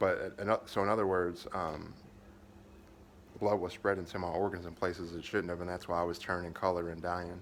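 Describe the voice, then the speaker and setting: A man with an American accent talks at a very fast pace in a very deep, low pitch with fairly even intonation. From Kentucky. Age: 30s. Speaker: vlogger fundraising for surgery. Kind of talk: personal video update, venting. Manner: flat, limited intonation due to pain; halting, many fillers and restarts.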